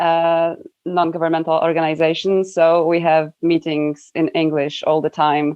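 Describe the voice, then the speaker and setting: A woman in a Polish accent speaks with a fairly low pitch, monotone, flat intonation and very even loudness. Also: moderate pace. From Poland. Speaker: environmental NGO worker. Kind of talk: interview.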